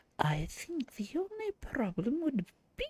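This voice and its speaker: At a very slow pace, someone performs in a put-on character voice. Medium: game stream. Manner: warm, chatty, grandmotherly.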